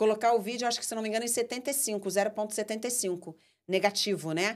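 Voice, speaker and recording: A woman's fairly high voice at a very fast pace, with ordinary pitch variation, on a very clean recording with a silent background. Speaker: podcast host and filmmaker. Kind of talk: casual chat.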